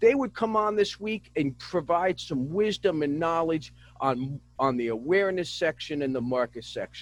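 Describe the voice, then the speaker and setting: A man with a New Jersey accent speaks in a high pitch at a moderate pace. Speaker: business show host. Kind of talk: interview.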